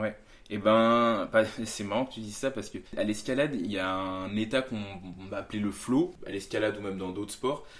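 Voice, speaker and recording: A man with a fairly low voice talks fairly quickly, his pitch varying in an ordinary way. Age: 20s. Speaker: competitive climber. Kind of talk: casual chat. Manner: halting.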